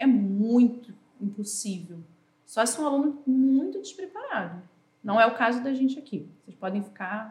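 In an ordinary speaking voice, a woman speaks at a moderate pace with a fairly high pitch and lively intonation. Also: big swings in loudness. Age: 40s. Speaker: teacher. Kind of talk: casual chat.

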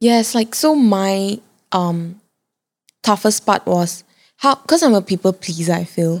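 Soft-spoken and medium in pitch, a woman talks at a fairly slow pace with lively intonation and long, frequent pauses, in a very clean recording with a silent background and a dry, close sound with no echo. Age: 20s. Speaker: content creator and fashion brand founder. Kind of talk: casual chat.

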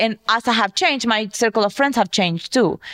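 Noticeable background noise sits behind a woman's fairly high voice, heard dry and close with no echo. She speaks at a moderate pace with lively intonation. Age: 30s. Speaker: podcast co-host. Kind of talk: casual chat.

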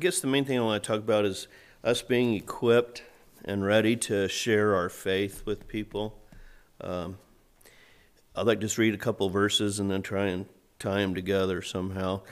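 Speaking at a moderate pace with an American accent, the voice keeps fairly even intonation and takes long, frequent pauses in a very clean recording with a silent background. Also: man, fairly low pitch for a man. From USA. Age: 60s. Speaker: lay preacher. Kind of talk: short church talk with long scripture readings. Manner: conversational, slightly halting.

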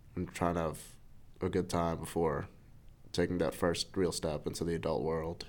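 Over a very clean recording with a silent background, a man with a very deep, low pitch and vocal fry speaks at a moderate pace with fairly even intonation and long, frequent pauses. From New York City. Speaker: church member sharing life story. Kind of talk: testimony.

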